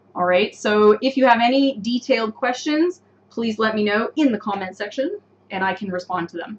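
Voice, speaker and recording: With noticeable background noise behind her, a woman with a North American accent speaks at a moderate pace, fairly high in pitch with ordinary pitch variation. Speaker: English teacher. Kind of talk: live online lesson. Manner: clear, explanatory.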